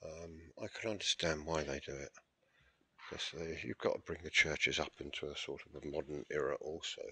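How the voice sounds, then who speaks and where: A quiet man's voice with an English accent at a fairly quick pace. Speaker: church history vlogger. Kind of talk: video tour narration. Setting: inside a church with people present. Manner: speaking quietly.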